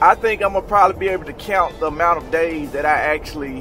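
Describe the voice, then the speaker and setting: A man talks with faint music in the background. The sound is dry, with no echo. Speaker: truck driver vlogger. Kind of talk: casual vlog chat. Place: car. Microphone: phone near.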